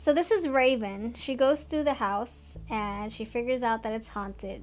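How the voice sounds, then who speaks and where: A moderately paced woman's voice. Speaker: tarot card reader. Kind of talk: casual tarot reading commentary. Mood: amused, playful.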